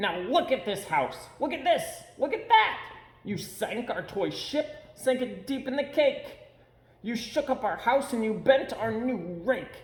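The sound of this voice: A man uses a put-on character voice at an extremely high pitch, making big pitch swings at a fairly slow pace amid audible room echo.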